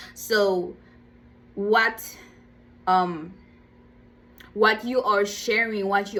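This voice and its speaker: Her pitch medium and her intonation fairly even, a woman speaks at a very slow pace. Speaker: motivational vlogger. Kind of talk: motivational talk. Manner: halting, many fillers and repeats.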